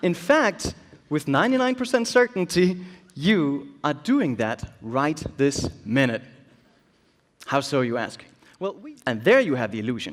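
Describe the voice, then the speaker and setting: A man with a Danish accent and a fairly high pitch speaks at a fairly slow pace. He leaves long, frequent pauses and his pitch swings very widely. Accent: Danish accent, noticeable. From Denmark. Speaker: illusionist and keynote speaker. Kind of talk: keynote speech.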